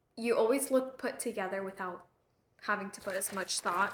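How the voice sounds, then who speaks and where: Loud and fairly high in pitch, this voice belongs to a woman. She speaks with real volume. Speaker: lifestyle vlogger. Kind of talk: casual vlog chat. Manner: breathing loudly.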